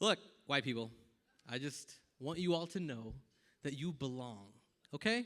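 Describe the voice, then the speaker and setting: On a very clean recording with a silent background, a man with a Texan accent speaks fairly slowly in a fairly high pitch. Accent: American, Texan with y'all. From Texas, Tyler. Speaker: comedian and eye surgeon. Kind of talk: stand-up. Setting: stage with audience at a gala dinner.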